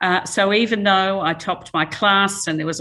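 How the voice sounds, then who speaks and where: A woman's voice with an Australian accent. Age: 60s. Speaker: chemical engineering professor. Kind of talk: lecture. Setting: talk with live and online audience.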